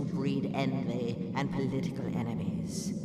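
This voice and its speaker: A cartoonish character voice rings with clear echo over loud background noise. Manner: formal, measured.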